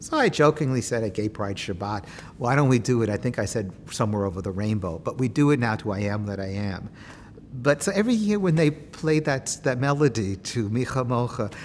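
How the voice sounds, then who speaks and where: With a New York accent, this man talks at a fairly quick pace, his medium-pitched voice carrying lively intonation. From Queens, New York City. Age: 60s. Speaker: oral history interviewee, activist. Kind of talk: oral history interview. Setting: synagogue.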